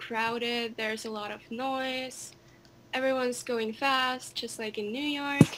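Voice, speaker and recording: Spoken at a very slow pace with monotone, flat intonation, the speech carries a Finnish accent over noticeable background noise. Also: woman. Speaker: singer. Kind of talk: casual chat.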